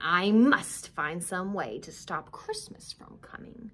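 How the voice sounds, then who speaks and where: Growling put-on character voice from a woman, medium in pitch, at a fairly slow pace with big swings in loudness. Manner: snarling.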